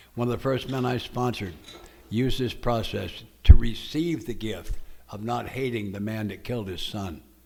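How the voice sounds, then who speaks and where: In a dark, mellow tone, a man talks at a medium pitch with ordinary pitch variation and big swings in loudness, with room echo audible. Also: moderate pace. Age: 80s. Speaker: AA speaker. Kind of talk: testimony.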